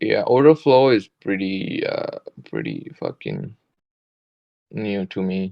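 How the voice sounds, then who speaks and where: A man speaks at a very slow pace with a non-native accent. Long pauses come often. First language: not English. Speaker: day trader. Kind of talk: casual chat.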